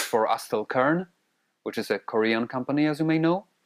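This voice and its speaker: In a dry, close sound with no echo and a very clean, silent background, a man with a Polish accent speaks with ordinary pitch variation. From Poland. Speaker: audio gear reviewer. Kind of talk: product review. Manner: hesitant with fillers.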